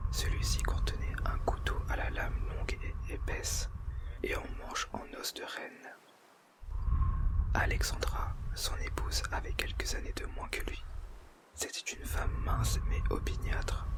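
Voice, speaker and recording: Whispering from a man, fairly slow, broken by long, frequent pauses, over noticeable background noise. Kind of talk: whispered audiobook reading. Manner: whispered, soft, slow.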